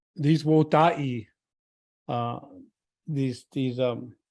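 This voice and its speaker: A man's dark, mellow tone with a Lakota accent. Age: old. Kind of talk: talk at a retreat. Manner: halting.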